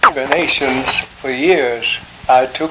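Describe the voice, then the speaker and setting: Noticeable background noise surrounds a man speaking with fairly even intonation. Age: 80s+. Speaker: sculptor, art scholar. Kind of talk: interview answer.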